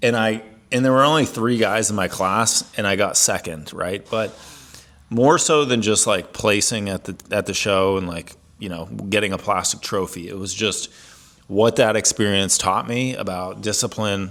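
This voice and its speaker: A fairly low-pitched man with a Midwestern American accent speaks at a moderate pace with ordinary pitch variation. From US Midwest, Ohio. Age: 40s. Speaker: fitness coach. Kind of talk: personal story monologue. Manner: casual, many fillers.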